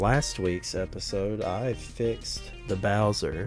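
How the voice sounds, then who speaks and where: A man's fairly low voice in a relaxed tone, with music in the background. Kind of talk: casual drawing commentary. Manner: relaxed, casual.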